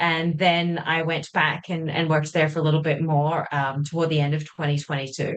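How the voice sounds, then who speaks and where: A woman with an Australian accent talks at a fairly quick pace with hardly any pauses. Her very deep, low voice stays monotone and flat. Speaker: journalist. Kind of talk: interview.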